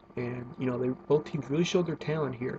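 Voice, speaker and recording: A soft-spoken man at a medium pitch talks over noticeable background noise. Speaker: wrestling video reviewer. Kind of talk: casual monologue review. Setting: at home. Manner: hesitant with fillers.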